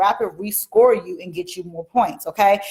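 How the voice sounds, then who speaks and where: A woman at medium pitch with an animated tone. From Washington DC. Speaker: mortgage educator, livestream host. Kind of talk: live stream talk to viewers. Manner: fast.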